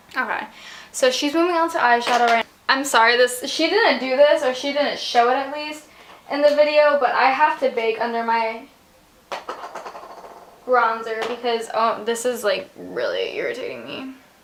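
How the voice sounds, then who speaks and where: Noticeable background noise runs through the clip. A woman speaks at a high pitch. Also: ordinary pitch variation, moderate pace. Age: young. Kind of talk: casual talk to camera.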